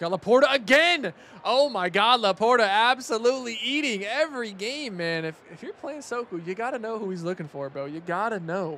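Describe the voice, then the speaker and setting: Over noticeable background noise, a man talks at a fairly quick pace in a raised, projected voice, high in pitch with very wide pitch swings, big swings in loudness and an animated tone. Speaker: esports commentator. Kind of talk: live commentary.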